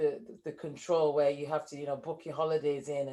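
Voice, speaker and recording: A woman with a northern English accent, very deep and low in pitch, at a fairly quick pace. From northern England, Leeds. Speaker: entrepreneur, former engineer. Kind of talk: interview.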